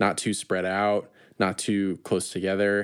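On a very clean recording with a silent background, a man with a Midwestern accent speaks at a moderate pace in a fairly low pitch. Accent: general American, Midwestern. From US Midwest, Chicago area. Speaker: student podcast host. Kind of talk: casual chat.

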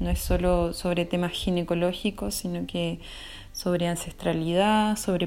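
A woman is speaking with a fairly low voice. Her intonation is monotone and flat. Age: 30s. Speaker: social researcher and traditional midwife. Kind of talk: interview. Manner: halting with fillers.

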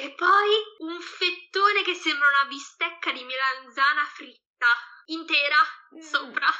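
The voice is raised and projected, with ordinary pitch variation. It moves at a fairly slow pace with long, frequent pauses. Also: woman, high pitch for a woman. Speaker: Italian expat. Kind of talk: casual chat. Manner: halting, searching for words.

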